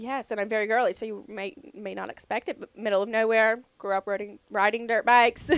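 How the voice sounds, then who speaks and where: A woman with an Appalachian accent talks at a fairly quick pace in a fairly high voice, hardly pausing, her intonation fairly even but her loudness swinging widely, in a dry, close recording with no echo. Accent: Southern Ohio, Appalachian-tinged. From southern Ohio. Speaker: team merchandise coordinator. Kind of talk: casual interview.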